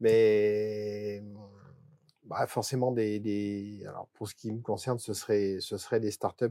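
In a dry, close, very clean recording with no echo and a silent background, a man with a dark, mellow tone speaks at a medium pitch in a monotone, flat intonation at a very slow pace. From Drôme-Ardèche, southeastern France. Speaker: company director. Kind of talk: casual chat.

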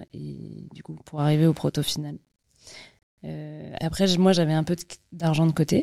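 Long, frequent pauses break up speech at a fairly slow pace on a very clean recording with a silent background. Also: woman. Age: 30s. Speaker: entrepreneur, company founder. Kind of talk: interview. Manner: casual.

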